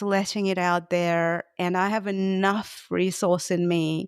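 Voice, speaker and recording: In a dry, close sound with no echo, a woman talks with a Russian accent. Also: very clean recording, silent background. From Russia, Moscow. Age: 30s. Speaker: gestalt therapist. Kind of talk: podcast interview. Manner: halting.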